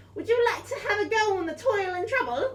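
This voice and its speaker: A put-on, squeaky character voice pitched extremely high. It moves at a fairly quick pace over clear background noise. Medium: actual play. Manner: cheerful, odd phrasing.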